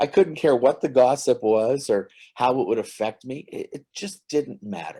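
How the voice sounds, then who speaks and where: The recording is very clean, with a silent background. Speech moves at a moderate pace. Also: man. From northern Ontario, Canada. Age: 60s. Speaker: comedy writer. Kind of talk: casual interview.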